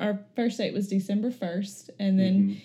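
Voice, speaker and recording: A dark, mellow, somewhat breathy voice with an Alabama accent. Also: woman. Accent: US South (Alabama). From Florence, Alabama. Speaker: speech therapist. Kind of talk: personal testimony interview.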